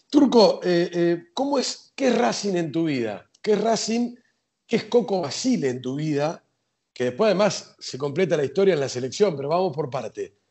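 The speaker has a Rioplatense accent. The pitch swings very widely. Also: man, high pitch for a man, moderate pace. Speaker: podcast host. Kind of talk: interview.

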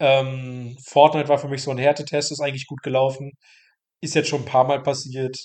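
The man talks at a fairly quick pace in a fairly high pitch. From Mecklenburg-Western Pomerania, northeastern Germany. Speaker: trainee games journalist. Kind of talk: interview. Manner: casual, filler-heavy.

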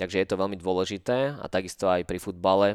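In a very clean recording with a silent background and a dry, close sound with no echo, a man speaks very fast at a very deep, low pitch. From Slovakia, Nové Zámky district. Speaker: dancer and choreographer. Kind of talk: casual interview. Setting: dance school.

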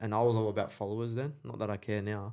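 With an Australian accent, a man speaks at a fairly low pitch in a dark, mellow tone. His intonation is fairly even, and the recording is very clean with a silent background. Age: 20s. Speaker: entrepreneur. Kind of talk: casual chat.

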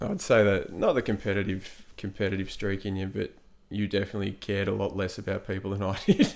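A fairly low-pitched man with an Australian accent, very fast and monotone, flat in intonation. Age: 30s. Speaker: podcast host. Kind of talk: casual chat. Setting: at his brother's home.

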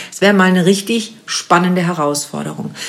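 A woman talks at a moderate pace with ordinary pitch variation over noticeable background noise. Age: 50s. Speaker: podcast host. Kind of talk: casual interview. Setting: in person in Berlin.

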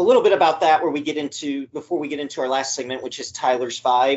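His voice is fairly high, its pitch varying in an ordinary way. The man has a plain, everyday voice. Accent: American. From Missouri, US Midwest. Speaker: podcast host. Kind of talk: casual interview.

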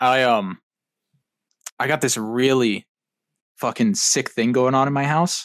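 A man talks fairly slowly at a medium pitch, with ordinary pitch variation and long, frequent pauses. The sound is dry and close, with no echo. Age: 20s. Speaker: podcast guest, gamer and computer hobbyist. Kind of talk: casual chat.

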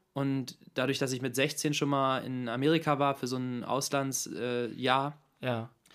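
On a very clean recording with a silent background, a man speaks at a very slow pace in a monotone, flat intonation. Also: medium pitch for a man. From Hannover, northern Germany. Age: 20s. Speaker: model and philosophy student. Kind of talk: casual chat.

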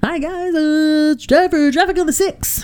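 A put-on character voice, pitched high, speaks at a moderate pace against light background noise. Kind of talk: radio host, upbeat announcer.

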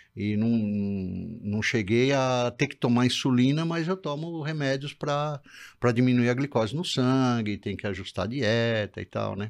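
A man speaks in an ordinary speaking voice at medium pitch with ordinary pitch variation. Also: fairly slow pace. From Brazil. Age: 60s. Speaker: patient with diabetes and kidney disease. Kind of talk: casual interview.

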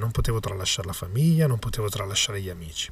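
Somewhat breathy, a man speaks at a medium pitch. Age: 20s. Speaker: magician and podcaster. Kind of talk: motivational monologue.

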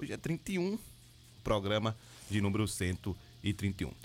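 A man with a fairly low pitch speaks with audible vocal fry. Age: 40s. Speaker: radio host. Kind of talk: news reading and interview.

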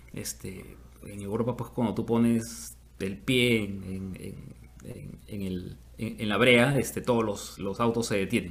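Speaking very slowly, a man keeps a fairly low pitch and fairly even intonation. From Peru. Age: 50s. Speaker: musician. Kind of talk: interview.

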